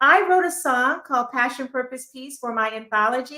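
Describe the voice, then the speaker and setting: A woman's raised, projected voice, high-pitched with a bright, sharp tone, at a moderate pace with very wide pitch swings. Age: 60s. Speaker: motivational speaker and author. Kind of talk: interview.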